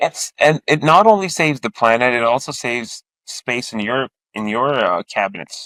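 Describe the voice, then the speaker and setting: A man's bright, sharp voice at medium pitch moves at a moderate pace, dry and close with no echo on a very clean recording with a silent background. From Pakistan. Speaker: podcast host. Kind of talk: interview conversation. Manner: halting, many fillers.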